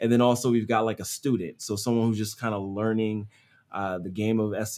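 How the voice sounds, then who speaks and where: The voice carries an American accent and a dark, mellow tone. The pace is fairly quick and the intonation monotone and flat. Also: man. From US Northeast, Philadelphia. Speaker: SEO agency owner. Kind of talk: casual interview.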